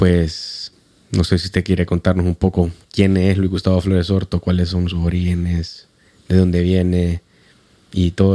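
In a dry, close sound with no echo, a man speaks with a very deep, low pitch and a dark, mellow tone, at a moderate pace in a monotone, flat intonation. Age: 30s. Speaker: podcast host. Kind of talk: interview.

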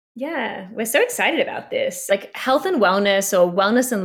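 With an Australian accent, a woman speaks at a moderate pace. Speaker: talent agency founder. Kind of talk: podcast interview.

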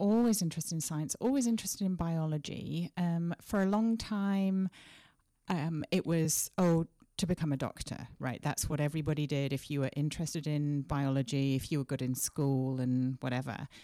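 A woman's very deep, low voice with a dark, mellow tone and lively intonation at a moderate pace, dry and close with no echo, on a very clean recording with a silent background. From Sheffield, England. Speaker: horticulture professor and apple breeder. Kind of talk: casual interview conversation. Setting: conference room interview.

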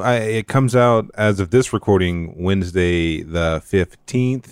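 A man uses an unremarkable speaking voice, keeping to a moderate pace. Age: 30s. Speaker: comic book writer. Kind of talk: casual chat.

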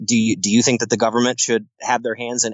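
A man with an American accent at a very fast pace and a medium pitch. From US, upstate New York (Herkimer County). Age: 30s. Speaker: political activist, former state assembly candidate. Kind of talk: debate-style interview. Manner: animated.

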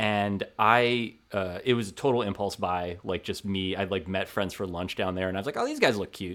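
A man with a plain, everyday voice speaks at a moderate pace with a fairly low pitch. There are hardly any pauses. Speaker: sports writer. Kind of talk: casual chat. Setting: video call.

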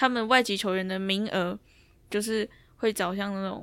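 Here a woman talks at a medium pitch with fairly even intonation. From Taiwan. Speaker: basketball player. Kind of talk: interview.

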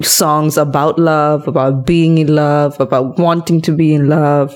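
A woman speaks at a fairly slow pace in a very deep, low pitch. Her intonation is fairly even. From India, Karnataka; schooled in Malaysia. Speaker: podcast host. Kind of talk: casual chat. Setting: at home.

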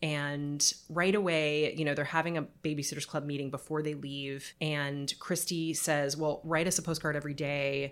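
In an American accent, a woman with a very deep, low pitch speaks at a moderate pace in a flat monotone, on a very clean recording with a silent background. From Southern California, Palos Verdes. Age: 30s. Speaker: writer and editor. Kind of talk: casual chat.

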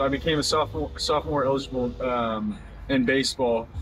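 Speaking with an American accent, a man uses an unremarkable speaking voice at medium pitch, with ordinary pitch variation and a moderate pace. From Oklahoma, US. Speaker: professional baseball pitcher. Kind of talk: interview. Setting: at spring training camp.

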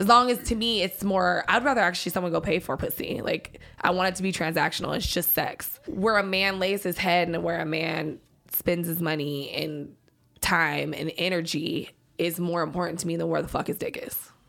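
A woman speaks with a bright, sharp tone at a fairly low pitch. Her pitch variation is ordinary, and vocal fry comes through. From San Diego, California. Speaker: adult entertainer. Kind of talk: casual chat. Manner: fast.

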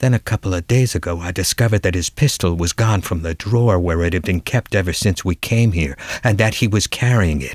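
A man with a very deep, low pitch speaks at a fairly quick pace, somewhat breathy and dramatic, with ordinary pitch variation, on a very clean recording with a silent background. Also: hardly any pauses. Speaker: audiobook narrator. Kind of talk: dramatic narration of a detective story, first person. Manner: measured, dramatic, hard-boiled storytelling.

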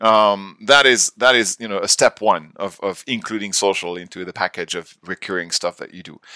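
At a moderate pace, a man with a normal speaking voice talks in a fairly low pitch, the sound dry and close with no echo. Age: 40s. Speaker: CEO of a social media software company. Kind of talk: podcast interview.

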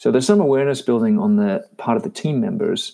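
A man's fairly high voice, dark and mellow in tone, with very wide pitch swings and a fairly quick pace. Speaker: leadership consultant. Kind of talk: interview. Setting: video call.

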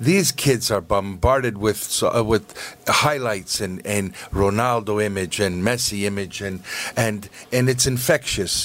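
A man's fairly low voice comes through at a fairly slow pace, with noticeable background noise behind it. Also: ordinary pitch variation. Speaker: soccer club chairman. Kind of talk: casual chat. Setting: studio.

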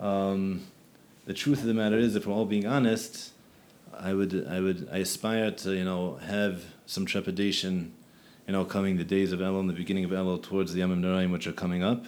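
In a Philadelphia accent, a man talks fairly quickly with a very deep, low pitch and fairly even intonation. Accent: Philadelphia American. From Philadelphia, US. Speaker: rabbi and yeshiva teacher. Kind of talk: podcast conversation.

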